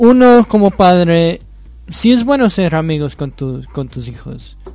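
A man's high, dark and mellow voice with a non-native accent, lively intonation, big swings in loudness and a very slow pace. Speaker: host's son. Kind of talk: radio interview. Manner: halting.

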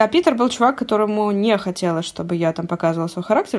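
Her pitch sits at a medium level. The woman speaks very fast. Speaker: podcast host. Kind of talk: casual chat.

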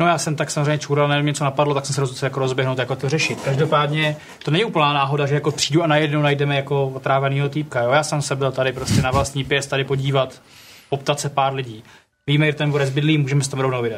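Over noticeable background noise, a man talks very fast at a fairly high pitch, monotone and with flat intonation. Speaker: tabletop RPG player. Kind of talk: in-character role-play.

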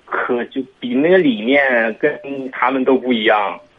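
Fairly slow pace from a man at medium pitch. It is a plain, everyday voice. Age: 20s. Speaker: caller seeking advice. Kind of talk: radio call-in consultation.

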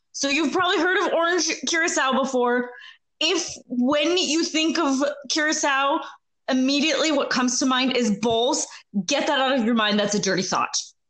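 A woman with a high pitch, lively intonation, very even loudness and a moderate pace, in audible room echo. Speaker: podcast co-host. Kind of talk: casual chat.

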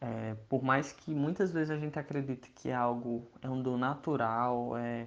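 A man's medium-pitched voice proceeds at a fairly slow pace. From Brazil, Ceará interior (Iguatu). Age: 20s. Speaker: entrepreneur, creativity educator. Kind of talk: casual talk to listeners.

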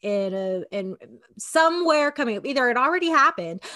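Loud and bright with a sharp tone, a woman talks at a moderate pace with very wide pitch swings, recorded dry and close with no echo. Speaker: podcast co-host. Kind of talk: casual chat. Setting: video call.

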